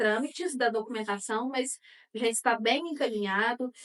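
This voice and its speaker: Her pitch is fairly high for a woman, with fairly even intonation. She speaks at a fairly slow pace. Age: 30s. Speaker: animal welfare activist. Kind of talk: interview. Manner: halting, many fillers.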